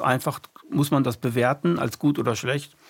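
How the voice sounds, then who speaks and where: Vocal fry runs through speech delivered at a fairly slow pace with ordinary pitch variation. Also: man. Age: 60s. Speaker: podcast host. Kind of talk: casual chat. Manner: halting.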